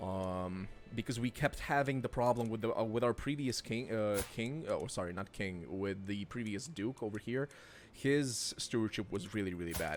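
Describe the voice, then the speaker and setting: In a very clean recording with a silent background, a man with a non-native accent speaks at a moderate pace, his medium pitch showing ordinary variation. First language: not English. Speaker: gaming streamer. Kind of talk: let's play commentary. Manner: casual, hesitant with fillers.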